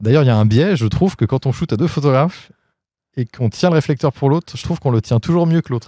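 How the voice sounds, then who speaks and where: Lively in intonation and dark, mellow in tone, a man with a fairly high pitch talks at a very fast pace, the sound dry with no echo over a quiet background. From Paris region, France; France. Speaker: photographer; guest. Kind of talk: casual interview. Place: garden. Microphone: handheld.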